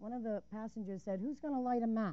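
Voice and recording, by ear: The tone is dark and mellow. Delivery is at a fairly quick pace with ordinary pitch variation. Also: woman.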